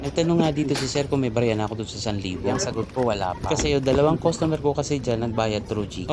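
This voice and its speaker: Noticeable background noise and audible room echo surround this man's voice. He speaks at a very fast pace with ordinary pitch variation. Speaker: delivery rider vlogger. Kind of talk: vlog narration. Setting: outdoors on the road.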